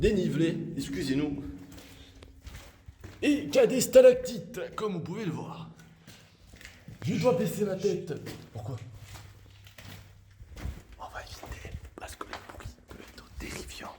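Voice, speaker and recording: Speaking very slowly with long, frequent pauses, a man uses a high pitch and very wide pitch swings, with audible room echo and noticeable background noise. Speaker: youtuber. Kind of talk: exploration vlog. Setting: inside an abandoned mine. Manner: partly whispering.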